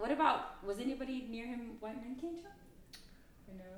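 Speaking with an American accent, a woman uses a fairly high pitch. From US West Coast, San Diego. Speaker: actor and theater director. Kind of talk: casual chat.

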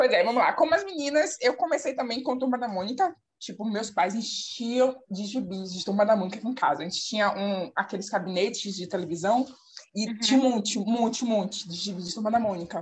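A plain, everyday voice with lively intonation at a fairly quick pace. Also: woman, fairly high pitch for a woman. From Bahia, Brazil (Salvador). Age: 20s. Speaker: podcast co-host. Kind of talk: casual chat.

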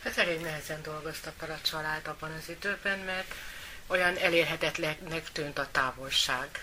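The speech moves at a moderate pace with fairly even intonation. Loudness swings widely, and background noise is noticeable. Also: woman, very deep, low pitch for a woman. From Hungary, Győr area. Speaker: sister of guest. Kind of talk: interview.

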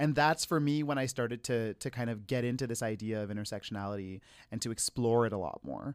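Recorded very cleanly with a silent background and a dry, close sound with no echo, a man talks at a very fast pace at medium pitch with ordinary pitch variation. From Quebec. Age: 20s. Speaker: community organizer and educator, podcast host. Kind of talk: casual conversational interview.

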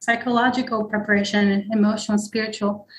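A somewhat breathy woman's voice, fairly high in pitch, flat and monotone, at a moderate pace. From Israel. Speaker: psychedelic therapy practitioner. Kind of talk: interview.

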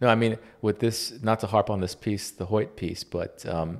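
An ordinary speaking voice from a man with an American accent comes at a moderate pace and fairly low pitch, with fairly even intonation, on a very clean recording with a silent background. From US. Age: 30s. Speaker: podcast host. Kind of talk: casual chat.

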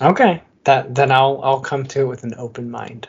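This man has an American accent. There is a somewhat breathy quality to how he talks. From Michigan, US Midwest. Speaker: beer podcast co-host. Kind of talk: casual chat.

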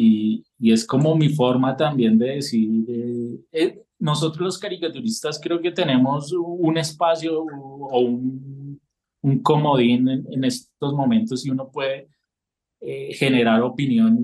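Very slowly, a man speaks in a dark, mellow tone at a fairly high pitch, with ordinary pitch variation. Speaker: political cartoonist. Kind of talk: casual interview.

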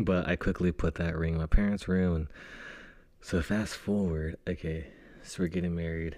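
A man speaks in a very deep, low, dark and mellow voice with flat, monotone intonation. His moderate pace comes through on a very clean recording with a silent background. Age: 30s. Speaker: podcast co-host, husband, pool construction worker. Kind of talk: casual chat. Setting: home recording.

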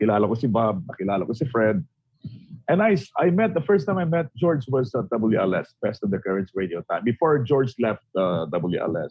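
A man talks at a moderate pace and a medium pitch. His pitch swings very wide. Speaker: former radio DJ. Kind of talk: casual chat. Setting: video call.

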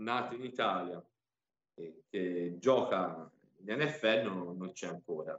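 Very slowly, a man speaks with lively intonation. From Tuscany, Pisa. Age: 20s. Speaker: American football player and coach. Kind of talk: interview.

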